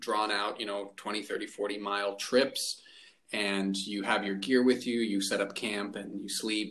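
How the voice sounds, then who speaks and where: With an American accent, a man speaks in a plain, everyday voice at a fairly low pitch, using fairly even intonation and a fairly slow pace. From rural Arizona. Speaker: podcast host. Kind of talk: casual chat.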